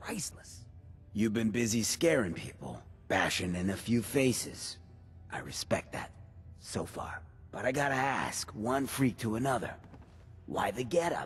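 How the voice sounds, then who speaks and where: A man's put-on character voice at medium pitch, with long, frequent pauses and clear background noise. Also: moderate pace. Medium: video game. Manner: laid-back, wry.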